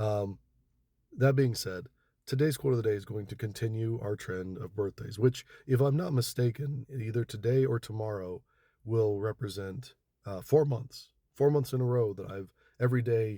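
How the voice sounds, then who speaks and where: At a moderate pace, a man speaks in a somewhat breathy medium pitch with ordinary pitch variation. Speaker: social media video creator. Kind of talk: casual monologue to camera. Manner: halting, repeats words.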